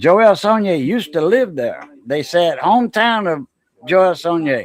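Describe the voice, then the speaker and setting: In a Louisiana accent, a man with a high voice speaks at a fairly slow pace, his pitch swinging very widely. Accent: Cajun Louisiana. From Southwest Louisiana (Cajun coast, south of Lafayette). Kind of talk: casual chat.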